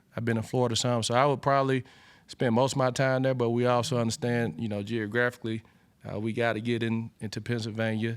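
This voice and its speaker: A man with an Alabama accent speaks very fast at a medium pitch. His intonation is flat and monotone, on a very clean recording with a silent background. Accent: Southern US (Alabama). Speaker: college football coach. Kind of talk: press conference. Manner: halting, many fillers.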